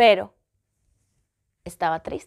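The setting is quiet. A woman's voice is heard. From Ecuador. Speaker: vlogger. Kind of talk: personal vlog storytelling. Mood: reflective, personal storytelling. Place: home room. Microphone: phone near.

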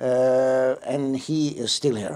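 Slow and dark, a man's mellow tone carries ordinary pitch variation. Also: medium pitch for a man.

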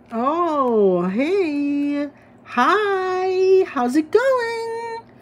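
An extremely high-pitched, squeaky put-on character voice. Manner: fake-sweet. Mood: casual friendly greeting.

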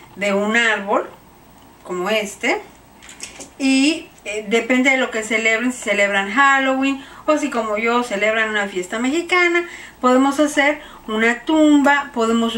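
A woman with a high pitch speaks at a moderate pace, her intonation lively. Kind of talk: tutorial. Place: home room. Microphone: camera far.

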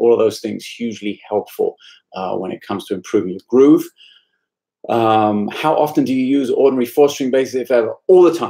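Against a quiet background, a voice with a British accent moves at a fairly quick pace, dark and mellow in tone with ordinary pitch variation. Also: man. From UK. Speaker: bass teacher. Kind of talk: live stream Q&A. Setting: practice room. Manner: casual, frequent fillers. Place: home room. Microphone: webcam.

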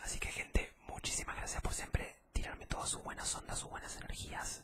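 A man talks at a very fast pace. Loud background noise fills the recording. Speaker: vlogger. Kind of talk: casual vlog chat, ASMR-style. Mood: grateful, warm. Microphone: studio mic.

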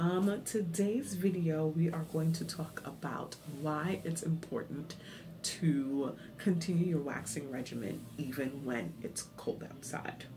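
Amid noticeable background noise, a woman with a very deep, low pitch speaks at a fairly slow pace. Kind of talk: casual vlog tutorial. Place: home room. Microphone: phone near.

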